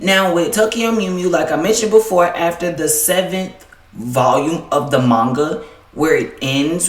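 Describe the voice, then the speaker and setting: The speaker has an American accent and a fairly slow pace. Noticeable background noise is present. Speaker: anime YouTuber. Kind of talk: casual video commentary. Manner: casual, filler-heavy.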